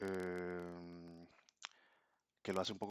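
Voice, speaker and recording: The sound is dry and close, with no echo. A man talks in a very deep, low pitch. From Costa Rica. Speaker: language learner vlogger. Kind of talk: casual vlog monologue. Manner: hesitant, many fillers.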